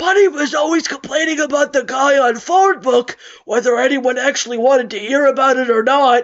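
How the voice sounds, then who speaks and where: A man puts on a character voice with an extremely high pitch. He speaks at a fairly quick pace. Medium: read story. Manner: muttering.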